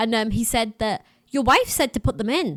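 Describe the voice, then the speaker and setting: On a very clean recording with a silent background and a dry, close sound with no echo, a woman with a fairly high voice speaks at a moderate pace with ordinary pitch variation. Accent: strong Middlesbrough. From northern England, Middlesbrough. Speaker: missionary and podcast host. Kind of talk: interview answers, casual chat.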